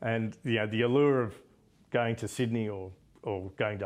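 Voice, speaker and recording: With an Australian accent, a man talks at a moderate speed. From Australia, Melbourne. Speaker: business executive and yachtsman. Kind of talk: interview. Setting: yacht club.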